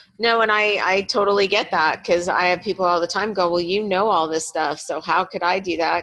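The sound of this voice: A woman's fairly low, fairly bright voice, with fairly even intonation at a moderate pace.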